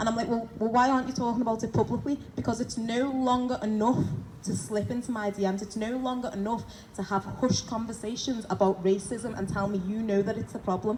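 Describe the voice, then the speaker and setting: A woman talks at a very fast pace in a fairly high voice, her intonation fairly even. There is noticeable background noise. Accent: Liverpool. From Liverpool, England. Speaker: activist, former police officer. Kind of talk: protest speech. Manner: loud; impassioned.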